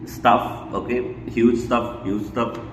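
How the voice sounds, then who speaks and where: Over noticeable background noise and audible room echo, a man speaks at a very slow pace. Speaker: book discussion vlogger. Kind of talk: casual book commentary monologue. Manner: hesitant, many fillers and repetitions; mumbling.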